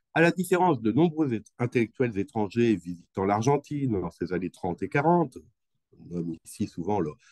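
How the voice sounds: A man with a fairly low pitch and a slightly mellow tone speaks at a moderate pace. His intonation is lively, and the sound is dry and close with no echo.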